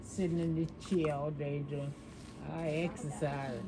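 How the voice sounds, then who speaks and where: A woman talks at a fairly slow pace with a very deep, low pitch and monotone, flat intonation. Noticeable background noise and audible room echo fill the recording. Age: 80s+. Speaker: salon client sharing life stories. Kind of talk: casual chat.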